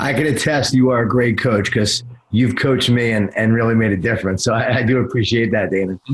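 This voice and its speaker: Very even loudness, fairly even intonation and a fairly quick pace over noticeable background noise. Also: man, medium pitch for a man. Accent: American. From Long Island, New York. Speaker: podcast host. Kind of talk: podcast interview.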